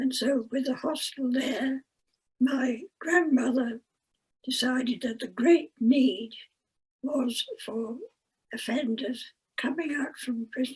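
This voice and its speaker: A woman with a high voice speaks at a very slow pace with ordinary pitch variation. She takes long, frequent pauses. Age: 80s+. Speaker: retired prison teacher. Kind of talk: interview answer.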